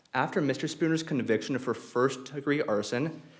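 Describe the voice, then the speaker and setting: Audible room echo is present. A man speaks at a moderate pace. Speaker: law student arguing appeal. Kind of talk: appellate oral argument. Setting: courtroom. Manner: halting, with repetitions; formal.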